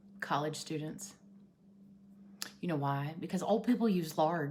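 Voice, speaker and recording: A woman talks at a fairly slow pace in an Appalachian accent. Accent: Appalachian Southern US. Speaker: vlogger. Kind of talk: casual chat. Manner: loud.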